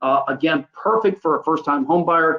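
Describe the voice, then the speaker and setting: A man speaks at a moderate pace in a plain, everyday voice. His pitch sits fairly high, with ordinary variation. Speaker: mortgage loan officer. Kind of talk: webinar presentation. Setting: live webinar.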